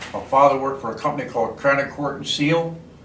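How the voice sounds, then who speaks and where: Recorded with audible room echo and noticeable background noise, a man with an American accent talks at a fairly high pitch. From Baltimore, Maryland, US. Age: 80s+. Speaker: war veteran. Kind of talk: oral history interview.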